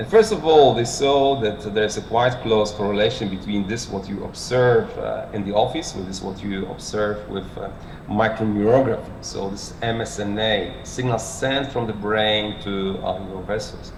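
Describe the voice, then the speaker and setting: Amid noticeable background noise and audible room echo, a man with a Polish accent talks with hardly any pauses, a fairly low pitch and fairly even intonation. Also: moderate pace. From Poland. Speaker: cardiologist, medical lecturer. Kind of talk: lecture. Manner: halting, many fillers.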